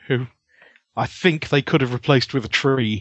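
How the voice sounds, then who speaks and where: A man with a British accent speaks at a moderate pace in a fairly high pitch. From UK. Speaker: podcast guest, theme tune composer. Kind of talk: casual chat. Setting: remote call. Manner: self-deprecating, joking.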